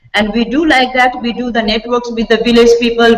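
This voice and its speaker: A woman with a high voice speaks over music in the background. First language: not English, English is third language. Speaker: aid worker. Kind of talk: presentation and Q&A. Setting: video call. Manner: halting.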